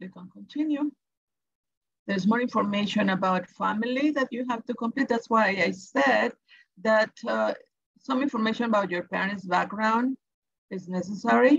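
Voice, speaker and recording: A woman's somewhat breathy, fairly high voice in a Salvadoran accent, at a moderate pace with long, frequent pauses, ordinary pitch variation, big swings in loudness, and dry, close sound with no echo. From El Salvador. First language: Spanish. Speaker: education advisor. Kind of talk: tutorial. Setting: webinar.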